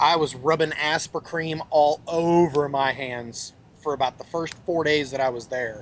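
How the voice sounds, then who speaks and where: Here is a man with a plain, everyday voice and an American accent. He speaks at a moderate pace with a fairly high pitch. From Texas. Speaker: vaping industry expert. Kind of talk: casual chat.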